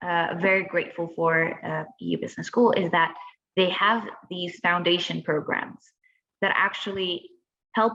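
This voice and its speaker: A woman's fairly low voice with a Spanish accent, fairly even in intonation and fairly slow in pace. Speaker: former student. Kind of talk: webinar Q and A.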